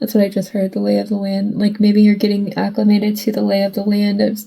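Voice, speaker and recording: A woman speaks at medium pitch with a somewhat breathy, dark, mellow tone. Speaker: tarot reader. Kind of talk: tarot reading monologue. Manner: choppy with weird pauses; halting, self-interrupting.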